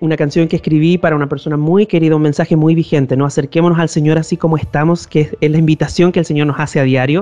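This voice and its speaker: Music plays in the background. A man with a fairly high pitch talks with fairly even intonation. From northern Chile. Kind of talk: interview. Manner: halting, with frequent repetitions.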